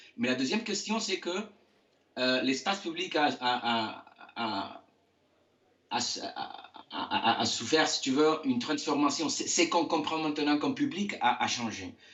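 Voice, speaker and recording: Long, frequent pauses mark this man's fairly slow speech, delivered at fairly high pitch with very wide pitch swings. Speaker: architect. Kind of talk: interview. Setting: video call from home. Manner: halting, many hesitations.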